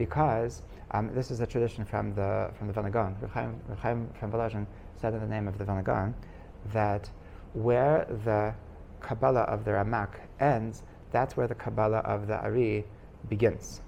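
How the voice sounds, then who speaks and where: Pausing long and often, a man with a dark, mellow tone speaks at a fairly low pitch and fairly even intonation, with audible room echo. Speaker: rabbi teaching a class. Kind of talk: lecture. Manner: fast; halting, many repetitions and fillers.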